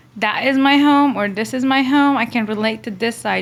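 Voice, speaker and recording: A woman is speaking. She has a Persian accent. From Iran. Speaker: nurse. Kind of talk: interview conversation.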